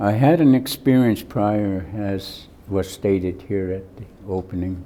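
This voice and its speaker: Speaking at a fairly slow pace with an American accent, this voice has a dark, mellow tone, ordinary pitch variation and big swings in loudness. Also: man, fairly low pitch for a man. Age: 90s. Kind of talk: acceptance speech. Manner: halting.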